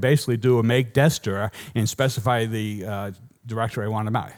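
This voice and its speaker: In a Boston accent, the speaker goes at a very fast pace with ordinary pitch variation, recorded very cleanly against a silent background. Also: man. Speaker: software engineer giving a conference talk. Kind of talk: conference talk. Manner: animated.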